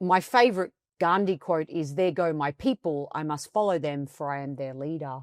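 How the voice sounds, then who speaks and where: Over a quiet background, a woman with an Australian accent speaks with ordinary pitch variation in a dry, close sound with no echo. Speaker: coaching expert and author. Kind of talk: interview. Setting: video podcast studio.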